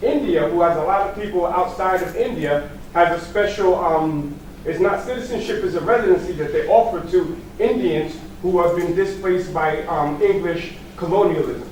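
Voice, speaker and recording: Loud and at a moderate pace, this voice has a New York accent and ordinary pitch variation. Noticeable background noise and audible room echo sit behind it. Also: man, high pitch for a man. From New York City. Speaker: audience member asking a question. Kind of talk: audience question at a lecture. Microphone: no microphone, speaking up.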